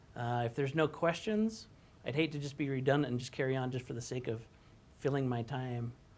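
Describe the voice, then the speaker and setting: A medium-pitched male voice at a fairly quick pace, with ordinary pitch variation. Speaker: assistive technology presenter. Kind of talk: webinar presentation. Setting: online webinar. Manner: fast; hesitant, many fillers.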